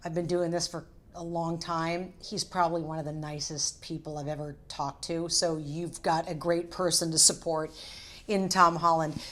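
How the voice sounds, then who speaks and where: A woman's fairly low voice proceeds at a moderate pace. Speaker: entertainment TV host. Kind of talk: casual to-camera talk. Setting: hotel room.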